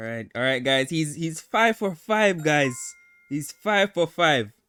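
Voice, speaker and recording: With music in the background, a man at a fairly high pitch speaks very slowly with very wide pitch swings, the sound dry and close with no echo. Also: big swings in loudness. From Jamaica. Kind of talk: casual talk to camera.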